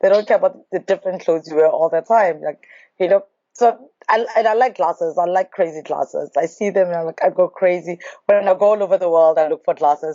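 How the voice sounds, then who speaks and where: Her speech races along at a very fast clip, and her pitch rises and falls in an ordinary way. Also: medium pitch for a woman. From South Africa. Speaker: nation branding representative. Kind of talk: interview. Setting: in person, Beijing.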